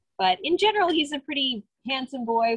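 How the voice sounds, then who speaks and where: A woman's somewhat breathy voice at a moderate pace, dry with no echo over a quiet background. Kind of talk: informal talk about animals. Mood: warm, amused. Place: farm machine. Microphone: phone near.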